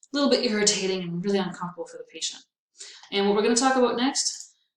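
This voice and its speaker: A woman's upbeat, medium-pitched voice with lively intonation and audible room echo. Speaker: veterinary technology instructor. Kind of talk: recorded lecture. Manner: casual, upbeat.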